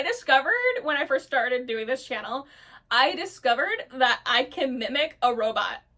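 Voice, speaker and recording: A woman's high-pitched voice comes across raised and projected. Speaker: roleplay video creator. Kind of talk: casual chat. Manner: hesitant, many fillers.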